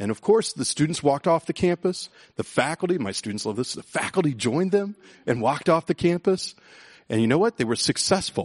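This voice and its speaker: Animated and fairly quick, the voice makes very wide pitch swings in a dry, close sound with no echo. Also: man. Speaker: history professor and author. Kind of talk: public lecture with slideshow, then onstage interview. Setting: stage with audience. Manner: animated storyteller.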